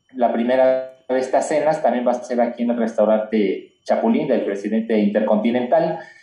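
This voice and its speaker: A man's medium-pitched voice at a moderate pace, hardly any pauses, fairly even intonation, very even loudness, and audible room echo. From Mexico. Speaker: cultural heritage association president. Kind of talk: casual chat. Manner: halting.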